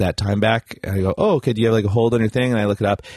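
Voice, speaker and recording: A man talks with a Canadian Prairies accent and fairly even intonation. The sound is dry and close, with no echo. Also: quiet background. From Canada, Saskatchewan. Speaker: comedian. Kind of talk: casual chat.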